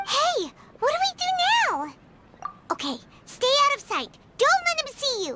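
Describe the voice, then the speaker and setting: Put-on and squeaky, the character voice sits at an extremely high pitch with very wide pitch swings, moving at a moderate pace with long, frequent pauses. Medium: video game. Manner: excitable, chatty.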